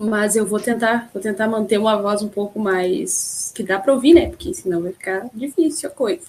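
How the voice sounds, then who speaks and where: With a southern Brazilian accent, a woman speaks at a moderate pace and a fairly high pitch, her intonation lively and her pauses few, as noticeable background noise carries on. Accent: southern Brazilian (gaúcho) Portuguese. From Rio Grande do Sul, Brazil. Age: 20s. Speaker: podcast host. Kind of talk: casual chat. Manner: usually loud.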